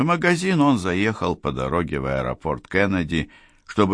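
The text comes across in an unforced reading voice.

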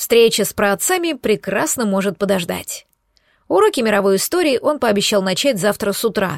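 Reading aloud in a natural voice with lively intonation, the speaker comes through over a quiet background.

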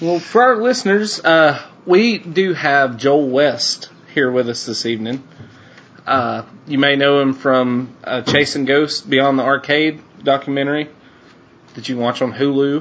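Against noticeable background noise, a man with a fairly high pitch speaks at a fairly slow pace with ordinary pitch variation. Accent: Southern US. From US South, North Alabama. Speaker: podcast host. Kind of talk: casual interview chat.

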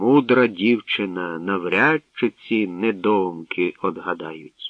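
The speaker uses a put-on character voice at a slow pace, with ordinary pitch variation. The sound is dry and close, with no echo. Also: man, low pitch for a man.

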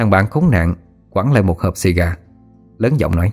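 Lively intonation carries an unforced reading voice.

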